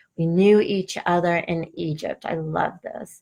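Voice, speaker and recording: A woman speaks very slowly with a Boston accent. Her fairly low voice stays monotone and flat. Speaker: spiritual coach. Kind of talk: live online workshop.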